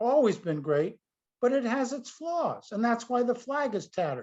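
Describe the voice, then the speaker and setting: Man's extremely high voice with an American accent, very wide pitch swings and a fairly slow pace. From US Northeast. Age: 70s. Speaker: priest and author. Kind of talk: interview. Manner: animated.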